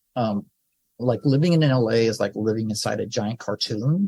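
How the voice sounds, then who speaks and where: In an American accent, a man speaks at a moderate pace in a somewhat breathy, dark, mellow tone with ordinary pitch variation. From Southern California. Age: 60s. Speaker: film director. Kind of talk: interview. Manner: casual, halting with many fillers.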